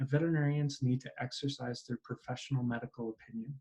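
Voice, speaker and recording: With a Canadian accent and fairly even intonation, a man speaks in a somewhat breathy voice at a medium pitch. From Canada. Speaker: continuing education director, telemedicine expert. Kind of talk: interview.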